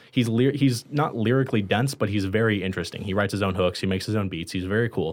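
The man uses a normal speaking voice, pitched fairly low, with ordinary variation in pitch. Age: 20s. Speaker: college radio podcast host. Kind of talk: casual chat. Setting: studio.

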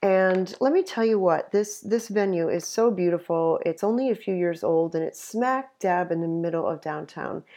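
With an American accent, a woman speaks at a medium pitch and moderate pace, her dark, mellow tone showing ordinary pitch variation and hardly any pauses against a quiet background. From upstate New York. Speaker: conference director. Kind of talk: interview. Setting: home office.

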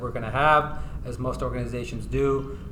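In an American accent, a man speaks at a fairly quick pace, with audible room echo in the recording. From California, San Diego. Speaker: tax attorney. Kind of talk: interview. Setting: conference.

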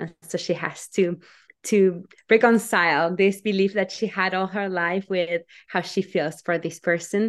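Speaking at a fairly slow pace over a quiet background, a woman with a medium pitch talks with a Spanish accent. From Argentina. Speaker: novelist. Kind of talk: interview.

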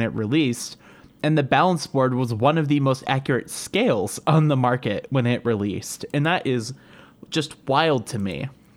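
A man with a Northern Ohio accent, medium pitch and ordinary pitch variation, against a quiet background. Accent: Northern Ohio American. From Cleveland, Ohio. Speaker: podcast co-host. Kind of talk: casual chat.

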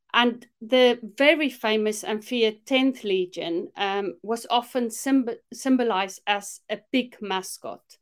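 On a very clean recording with a silent background, a woman speaks at a fairly slow pace and fairly high pitch, with ordinary pitch variation and hardly any pauses. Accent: South African. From South Africa, Afrikaner. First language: Afrikaans. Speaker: minister and discipleship mentor. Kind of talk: casual interview chat.

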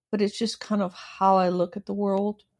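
With an American accent, a woman speaks in a plain, everyday voice at medium pitch and a moderate pace over a quiet background. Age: 60s. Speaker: author. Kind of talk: casual interview chat.

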